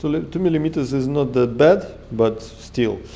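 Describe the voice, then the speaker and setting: Speaking with a Russian accent, a man with a dark, mellow tone and medium pitch goes at a fairly slow pace with ordinary pitch variation. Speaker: DIY engine hobbyist. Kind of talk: tutorial. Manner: halting, many fillers.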